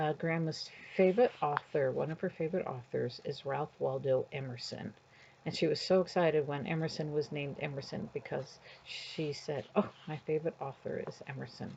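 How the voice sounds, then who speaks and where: At a moderate pace, a woman speaks with a very deep, low pitch, a somewhat breathy quality and ordinary pitch variation. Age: 60s. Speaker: grandmother reading books aloud to grandchildren. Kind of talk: reading aloud to children with casual commentary. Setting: at home sitting on her bed. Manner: casual, chatty, with fillers.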